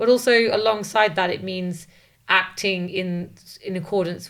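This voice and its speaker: A woman uses a normal speaking voice, keeping her intonation fairly even at a moderate pace. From English Midlands, then British Columbia, Canada from age ten. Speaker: lawyer and activist. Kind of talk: interview.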